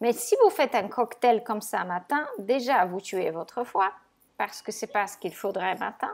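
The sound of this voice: At a fairly slow pace, a woman speaks at medium pitch with vocal fry and ordinary pitch variation.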